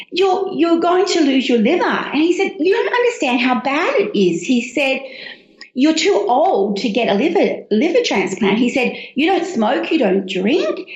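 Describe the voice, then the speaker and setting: A woman's high-pitched voice makes very wide pitch swings at a moderate pace and very even loudness, with audible room echo and noticeable background noise. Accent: Australian. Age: 60s. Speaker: cookbook author. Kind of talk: interview.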